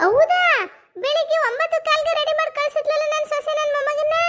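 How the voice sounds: At a moderate pace, a female-sounding voice does a cartoonish character voice at an extremely high pitch.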